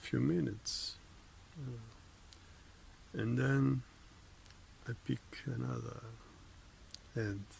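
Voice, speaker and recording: Speech unfolds at a very slow pace with very wide pitch swings. Noticeable background noise runs underneath. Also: man. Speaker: vlogger. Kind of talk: casual monologue. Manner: halting, many fillers; sometimes swallows words.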